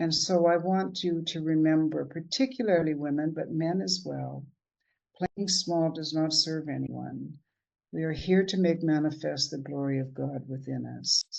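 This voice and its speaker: A woman with a Canadian accent, her pitch very deep and low, her pace moderate and her pitch variation ordinary. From Canada. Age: 70s. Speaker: motivational speaker. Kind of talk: inspirational talk.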